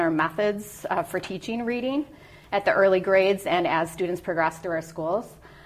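Noticeable background noise sits under the recording. A woman speaks in a medium pitch with an American accent. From US Midwest, Minneapolis. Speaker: school board candidate. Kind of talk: candidate interview.

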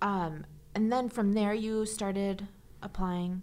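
A normal speaking voice, this woman talks at a fairly slow pace with a medium pitch. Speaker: podcast host and public information officer. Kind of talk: interview, casual chat with scripted intro.

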